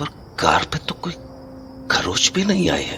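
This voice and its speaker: A gruff put-on character voice at a moderate pace, with clear background noise. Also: man, high pitch for a man. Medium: audio drama. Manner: gruff, swears often.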